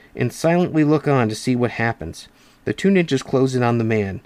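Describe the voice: This is plain reading aloud. Nothing more is heard.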